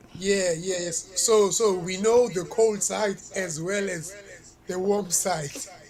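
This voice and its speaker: Speaking at a very slow pace with a South African accent, a man uses a high pitch and fairly even intonation, with audible room echo and noticeable background noise. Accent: South African (Xhosa) English. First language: Xhosa. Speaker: reggae artist. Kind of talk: interview.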